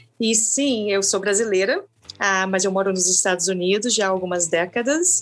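A woman with a Brazilian accent talks at a moderate pace and medium pitch, her loudness very even and her pauses few. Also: ordinary pitch variation. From Brazil, coastal town. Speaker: long-distance hiker. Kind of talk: interview. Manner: halting, many fillers.

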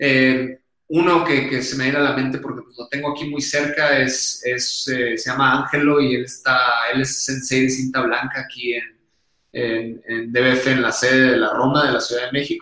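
A man with a strong Sonoran accent talks at a moderate pace. His pitch is medium and his intonation monotone and flat. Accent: strong northern Mexican (Sonoran). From northern Mexico, Hermosillo, Sonora. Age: 30s. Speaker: tech school founder. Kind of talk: interview.

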